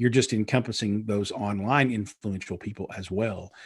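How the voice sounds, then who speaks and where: A man's plain, everyday voice, fairly low in pitch with ordinary variation, at a fairly quick pace on a very clean recording with a silent background. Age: 40s. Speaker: PR and digital marketing strategist, author. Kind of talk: interview. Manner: many fillers and repetitions.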